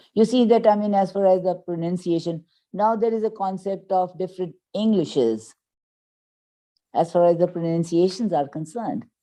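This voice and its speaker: Against a quiet background, a woman with a Pakistani accent talks in a dark, mellow tone with ordinary pitch variation. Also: medium pitch for a woman, moderate pace. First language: Urdu. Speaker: English teacher. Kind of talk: interview.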